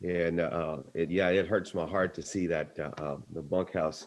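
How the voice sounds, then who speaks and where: A man with an American accent speaks at a moderate pace. His pitch is very deep and low, with fairly even intonation. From Texas, Bloomington near Victoria. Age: 60s. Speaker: speaker telling personal story. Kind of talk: personal story in a meeting. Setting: video call.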